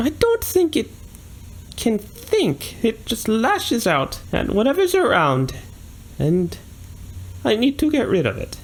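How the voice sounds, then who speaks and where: A man's put-on character voice at an extremely high pitch, fairly slow, with long, frequent pauses and clear background noise. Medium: actual play. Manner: polite, bargaining.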